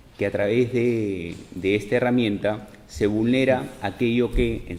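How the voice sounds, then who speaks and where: Audible room echo surrounds the recording. A man speaks fairly slowly within it. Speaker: tax expert. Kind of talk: lecture. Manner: hesitant, many fillers.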